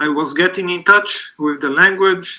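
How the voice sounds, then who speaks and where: With a Portuguese accent, a man talks at a fairly slow pace in a high voice with a bright, sharp tone. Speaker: literary translator. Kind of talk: live panel talk.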